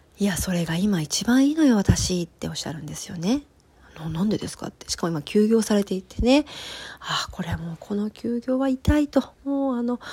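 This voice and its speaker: At a fairly quick pace, a woman talks at a fairly high pitch with very wide pitch swings. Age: 30s. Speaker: podcast host, personal coach and metalwork artist. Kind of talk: casual solo talk. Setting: home recording.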